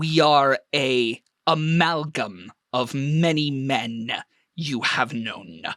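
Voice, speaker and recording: A put-on character voice sits at a low-to-middle pitch. The pace is very slow. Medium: actual play. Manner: calm, formal, cryptic, speaks in plural "we".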